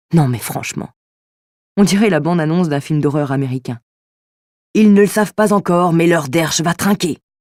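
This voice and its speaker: The voice has a dark, mellow tone, ordinary pitch variation and a moderate pace, with a dry, close sound and no echo. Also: woman. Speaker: voice actor. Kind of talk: audiobook reading.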